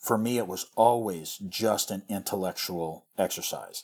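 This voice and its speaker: A man with a normal speaking voice talks at a fairly low pitch with fairly even intonation. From US Midwest, rural western Missouri. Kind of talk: casual chat.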